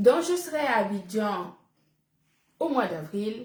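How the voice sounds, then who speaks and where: A woman speaks at a very slow pace with a fairly high pitch. Her voice is somewhat breathy. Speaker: businesswoman selling supplements. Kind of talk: live-stream sales pitch. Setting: live stream.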